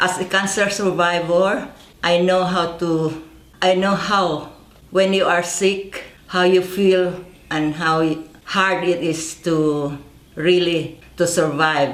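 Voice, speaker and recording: Delivered at a very slow pace in a monotone, flat intonation, the speech carries audible room echo and noticeable background noise. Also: woman, fairly low pitch for a woman. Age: 80s+. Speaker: herb farmer. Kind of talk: product presentation.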